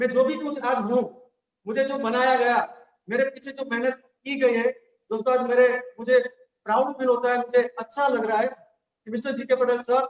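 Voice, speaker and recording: Long, frequent pauses break up a man's speech at a moderate pace. His pitch is extremely high and his intonation monotone and flat. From Gujarat, India. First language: Gujarati (speaking Hindi). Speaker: network marketing trainer. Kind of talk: motivational training talk. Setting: online session via link.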